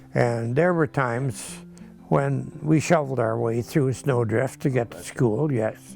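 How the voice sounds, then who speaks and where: With music playing in the background, a man with an American accent speaks at a fairly slow pace. His pitch is medium, with ordinary variation. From Michigan, near Ypsilanti. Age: 80s+. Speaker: retired teacher and farmer. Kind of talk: interview answer.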